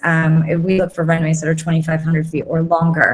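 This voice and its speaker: A woman with an American accent speaks at a fairly low pitch over noticeable background noise. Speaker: corporate pilot. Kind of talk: interview on live online show. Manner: hesitant, many fillers.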